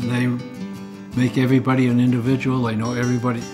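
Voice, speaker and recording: A man speaks at a fairly quick pace while clear music sounds in the background. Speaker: grandfather, former military pilot. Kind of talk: interview answer. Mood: earnest, warm. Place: home room.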